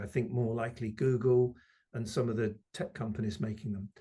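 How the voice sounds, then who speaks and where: Somewhat breathy and dark, mellow in tone, the speaker talks at a moderate pace with a British accent. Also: man. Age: 60s. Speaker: electric mobility expert. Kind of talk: interview. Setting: video call.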